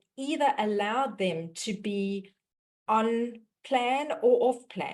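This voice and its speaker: A woman with a South African accent and ordinary pitch variation. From South Africa, Johannesburg. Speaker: dietitian and mindset mentor hosting a webinar. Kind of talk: webinar introduction.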